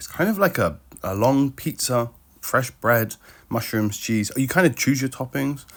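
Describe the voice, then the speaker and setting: On a very clean recording with a silent background, a man with an English accent swings very widely in pitch. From UK. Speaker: travel vlogger. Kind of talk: travel vlog narration. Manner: casual, conversational.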